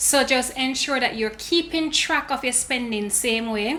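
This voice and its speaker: Noticeable background noise sits behind a woman speaking with a Jamaican accent. She talks at a moderate pace in a high pitch. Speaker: lifestyle and finance YouTuber. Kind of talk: casual tutorial vlog.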